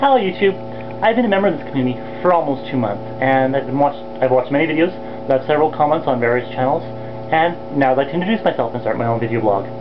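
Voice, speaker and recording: A man speaks at a very fast pace with a medium pitch and lively intonation. Noticeable background noise runs underneath. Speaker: video blogger. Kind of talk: scripted introduction video blog. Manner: reading from a script. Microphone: poor quality photo camera video mode.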